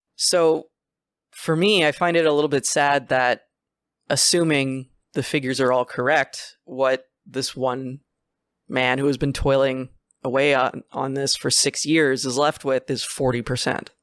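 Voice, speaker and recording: This is a very clean recording against a silent background. Words come at a fairly slow pace. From Quebec, Canada. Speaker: podcast host. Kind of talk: casual chat.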